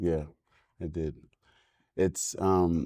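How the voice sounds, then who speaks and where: A man with a Senegalese accent, dark, mellow tone and very slow pace, on a very clean recording with a silent background. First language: French. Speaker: filmmaker and musician. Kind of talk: podcast interview. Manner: halting.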